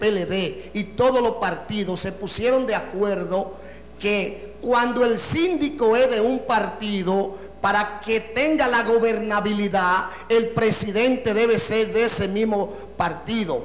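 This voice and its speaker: A man with a Dominican accent speaks very slowly in a high voice with ordinary pitch variation, and room echo is audible. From Dominican Republic. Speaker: party official. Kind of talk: political interview. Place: studio. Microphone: handheld.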